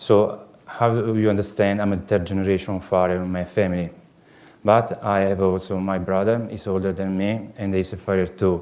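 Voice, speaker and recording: Speaking in an Italian accent at a moderate pace, a man keeps a fairly low pitch and flat, monotone intonation. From southern Italy, Puglia. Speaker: farrier. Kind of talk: lecture. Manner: halting, many fillers.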